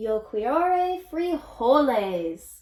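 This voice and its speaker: A woman does a put-on character voice, growling at a high pitch. Her pitch swings very widely. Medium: read story.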